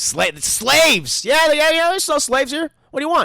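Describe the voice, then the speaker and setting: A put-on character voice is used. The pitch is high. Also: moderate pace. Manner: laid-back, dismissive.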